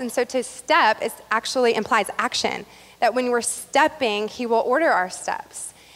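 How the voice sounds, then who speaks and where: A woman speaks here. Her voice is high, with ordinary pitch variation. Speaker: pastor. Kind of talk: sermon. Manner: fast.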